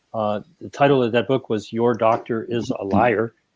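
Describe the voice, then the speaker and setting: In an American accent, a man with a medium pitch and fairly even intonation talks at a moderate pace in an unremarkable speaking voice, the sound dry and close with no echo. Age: 60s. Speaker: health writer and activist. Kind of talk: panel discussion.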